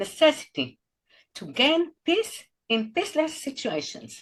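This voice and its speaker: A woman speaks with an Israeli accent. Her pace is fairly slow. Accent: Israeli Hebrew accent in English. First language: Hebrew. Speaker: podcast host. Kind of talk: interview intro. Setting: video call.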